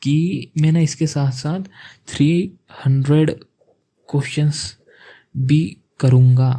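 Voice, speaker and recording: The voice is somewhat breathy with a dark, mellow tone and fairly even intonation. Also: man. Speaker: student vlogger. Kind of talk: casual vlog talk. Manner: conversational, with self-corrections.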